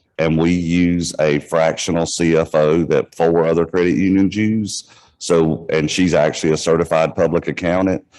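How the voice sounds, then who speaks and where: With hardly any pauses, a man speaks at a moderate pace in a very deep, low pitch, with monotone, flat intonation and very even loudness. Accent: Southern US. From US South. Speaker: credit union manager. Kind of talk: panel discussion.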